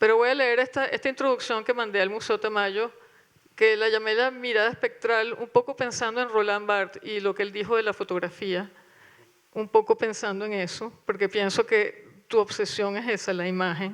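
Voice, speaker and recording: With an ordinary speaking voice, a woman speaks at a moderate pace, fairly high in pitch and with fairly even intonation. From Venezuela. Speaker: curator. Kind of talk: panel talk with reading aloud. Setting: auditorium with audience.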